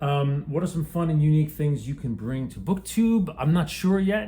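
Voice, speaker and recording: Man with an American accent, a dark, mellow tone, somewhat breathy, at a fairly quick pace. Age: 50s. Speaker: booktuber. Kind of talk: casual vlog. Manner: halting.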